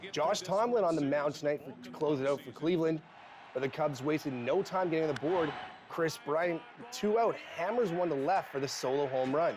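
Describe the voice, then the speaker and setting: A man with a fairly high pitch and ordinary pitch variation speaks at a moderate pace against noticeable background noise. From Canada. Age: 20s. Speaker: broadcast journalism student. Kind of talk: TV sports news anchoring.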